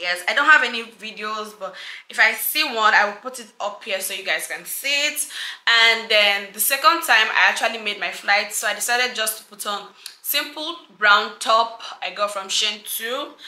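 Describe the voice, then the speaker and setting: A woman with a fairly high voice speaks at a moderate pace with ordinary pitch variation and big swings in loudness, and there is audible room echo. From Nigeria. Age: 20s. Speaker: lifestyle YouTuber. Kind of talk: fashion vlog / lookbook. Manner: animated. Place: home room.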